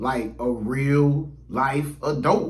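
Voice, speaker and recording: Audible room echo around a man's voice with ordinary pitch variation. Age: 30s. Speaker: YouTuber. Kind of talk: casual vlog monologue. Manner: casual, conversational with many fillers.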